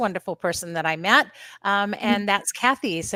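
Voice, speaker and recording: A woman with an American accent speaks at a medium pitch in a bright, sharp tone, her voice dry and close with no echo on a very clean recording with a silent background. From East Coast, US.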